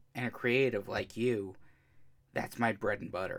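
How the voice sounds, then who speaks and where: A man is speaking in an American accent. His pace is moderate. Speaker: podcast host. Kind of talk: casual chat.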